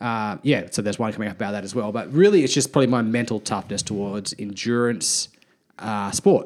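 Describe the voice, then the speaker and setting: A man with an ordinary speaking voice and a fairly low pitch speaks at a fairly quick pace with ordinary pitch variation. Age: 30s. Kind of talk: casual chat.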